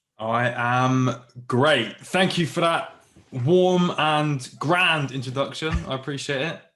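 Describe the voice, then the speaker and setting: A man with a British accent, a bright, sharp tone and a fairly high pitch, at a very slow pace with ordinary pitch variation. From southwest England, Plymouth. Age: 30s. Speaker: military veteran and motivational speaker. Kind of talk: podcast interview.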